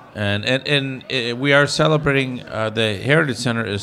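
A man at a moderate pace with lively intonation, over noticeable background noise. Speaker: radio host. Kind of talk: casual banter with jokes. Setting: live bar venue. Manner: jokey, playful.

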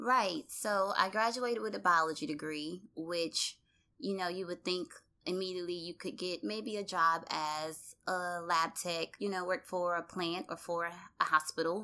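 Speaking with a Southern US accent at a fairly slow pace, a woman has a fairly low pitch, ordinary pitch variation and a bright, sharp tone, in a very clean recording with a silent background. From US South, Louisiana (Baton Rouge). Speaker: public health professional. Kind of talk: interview testimony. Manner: hesitant with fillers.

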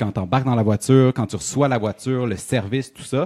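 The speaker is a man with an ordinary speaking voice at medium pitch. The recording is very clean and dry, close with no echo and a silent background. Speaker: radio host. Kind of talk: quiz reading; casual chat.

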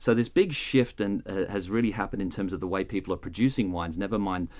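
On a very clean recording with a silent background, a man with an Australian accent speaks very fast in a fairly low pitch with ordinary pitch variation. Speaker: wine expert. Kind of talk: educational explainer. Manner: hesitant, repeats words.

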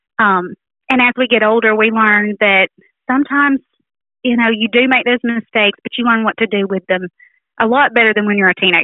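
Speech in a Southern US accent moves at a fairly quick pace with ordinary pitch variation. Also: woman. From Alabama. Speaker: teacher and author. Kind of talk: radio interview, conversational. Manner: friendly, thoughtful, frequent filler words.

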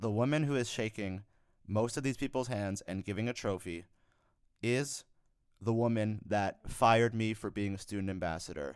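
An ordinary speaking voice with an American accent keeps a moderate tempo and normal pitch movement. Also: man, fairly low pitch for a man. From New York. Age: 20s. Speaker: podcast co-host. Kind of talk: casual chat.

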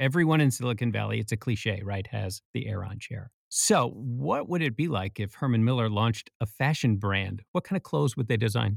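An unremarkable speaking voice from a man, medium in pitch, at a moderate pace with ordinary pitch variation and hardly any pauses, dry and close with no echo on a very clean recording against a silent background. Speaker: podcast co-host. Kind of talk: casual interview chat.

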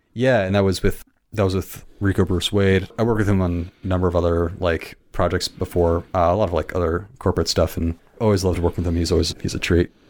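A man's very deep, low voice with an American accent, very fast and flat in monotone, at very even loudness on a very clean recording with a silent background. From Michigan, east side. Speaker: film editor and videographer. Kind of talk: casual chat.

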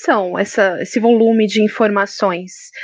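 There is noticeable background noise in this clip. The woman's voice sits at a fairly high pitch. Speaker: podcast moderator, journalist. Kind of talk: interview.

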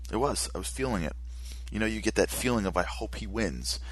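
Vocal fry colors this animated, fairly quick delivery, which has ordinary pitch variation. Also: man. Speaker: radio host. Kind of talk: opinionated radio monologue, angry rant. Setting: studio. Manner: animated, impassioned, ranting.

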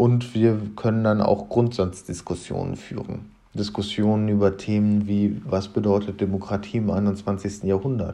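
His voice is fairly low in pitch. This man has a dark, mellow tone. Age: 20s. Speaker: podcast host, history student. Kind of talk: podcast introduction monologue.

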